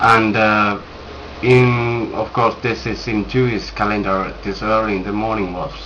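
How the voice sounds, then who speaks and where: A fairly low-pitched man's fairly slow, flat monotone, with audible room echo. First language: not English. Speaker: religious video maker. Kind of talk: scripture commentary reading from notes. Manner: halting, many fillers.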